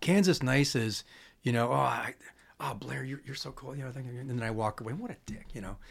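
A normal speaking voice with an American accent moves at a fairly quick pace. Its loudness swings widely while pitch variation stays ordinary. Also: man, medium pitch for a man. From Chicago. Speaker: musician. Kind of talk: casual chat.

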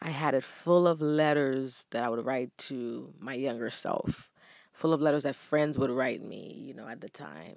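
A woman speaks at a very deep, low pitch in a warm tone. Her loudness swings widely. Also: ordinary pitch variation, moderate pace, quiet background. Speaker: podcaster. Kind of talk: casual monologue. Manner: warm and motivational.

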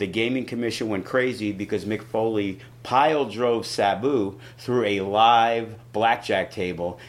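A man with an American accent uses an ordinary speaking voice at medium pitch, speaking at a fairly slow pace with fairly even intonation. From New York City. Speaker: wrestling promoter. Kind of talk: casual interview.

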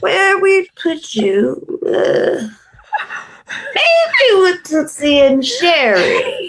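A woman puts on a character voice pitched extremely high, with very wide pitch swings. She speaks at a very slow pace and keeps her loudness very even. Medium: audio drama. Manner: slow, appraising.

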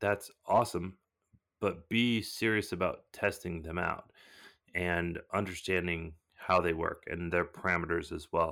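On a very clean recording with a silent background, a man talks at a fairly slow pace. He has an American accent and fairly even intonation. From Southern California. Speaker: fire starter business owner. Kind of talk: casual interview.

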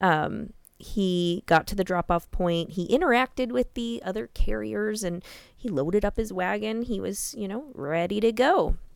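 This woman has an unremarkable speaking voice, medium in pitch, with an American accent and lively intonation. She speaks at a moderate pace on a very clean recording with a silent background. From Iowa, US Midwest. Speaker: true crime podcast host. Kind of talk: casual chat.

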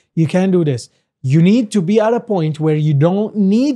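Here a man with an Arabic accent speaks at a high pitch and a moderate pace, his dark, mellow tone carrying lively intonation. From Lebanon. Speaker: entrepreneur. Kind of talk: casual interview.

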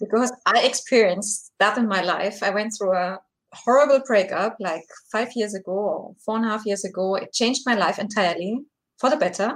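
A woman speaks with a German accent at a moderate pace. Her pitch is fairly high, with ordinary pitch variation. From Germany. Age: 40s. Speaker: breakup recovery coach. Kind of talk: live video Q&A.

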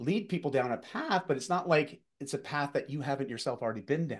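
A man with an unremarkable speaking voice, lively intonation and a moderate pace, against a quiet background. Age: 40s. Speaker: fitness and executive coach. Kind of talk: interview storytelling.

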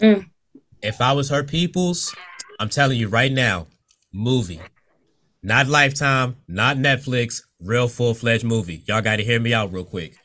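A man with a bright, sharp tone, medium pitch, lively intonation and a moderate pace. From Virginia Beach, US. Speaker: podcast host. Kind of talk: casual interview. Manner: laid back.

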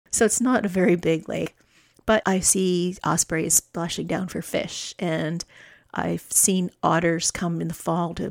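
In a Canadian accent, an ordinary speaking voice moves at a fairly slow pace with fairly even intonation, recorded very clean with a silent background and a dry, close sound with no echo. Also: woman. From Canadian prairies, Alberta. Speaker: podcast host. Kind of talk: solo monologue. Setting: home studio.

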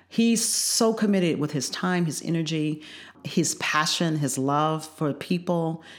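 This woman has a normal speaking voice, a fairly low pitch, ordinary pitch variation and an American accent. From northern Illinois, Joliet. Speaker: state legislator. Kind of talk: interview.

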